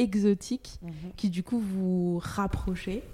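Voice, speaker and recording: Over a very clean recording with a silent background, a woman with a medium pitch and a dark, mellow tone speaks at a very slow pace. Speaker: podcast host. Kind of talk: casual chat.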